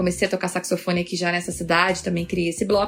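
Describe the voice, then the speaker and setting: This woman speaks at a medium pitch. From Rio de Janeiro, Brazil. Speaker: agile coach and author. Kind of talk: podcast interview.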